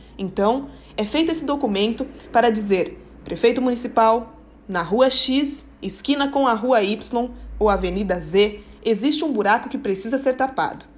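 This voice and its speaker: A woman with a fairly high pitch and ordinary pitch variation can be heard over noticeable background noise. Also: moderate pace. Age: 20s. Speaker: city councillor and lawyer. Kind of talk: explanatory talk.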